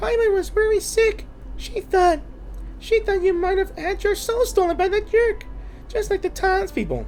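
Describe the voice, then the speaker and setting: A put-on, squeaky, female-sounding character voice at an extremely high pitch and a moderate pace, with clear background noise. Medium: game stream. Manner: chatty, refers to self in third person.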